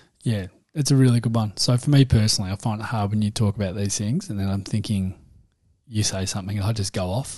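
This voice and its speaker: Somewhat breathy and very fast, a man with an Australian accent speaks in a fairly low pitch with a dark, mellow tone and ordinary pitch variation. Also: quiet background. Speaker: podcast co-host, parent. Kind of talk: casual chat. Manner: jokey, laughs often.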